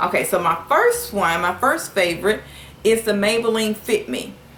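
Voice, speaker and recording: A woman talks with a Southern US accent. Noticeable background noise is audible. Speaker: beauty vlogger. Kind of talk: product review. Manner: casual, many filler words.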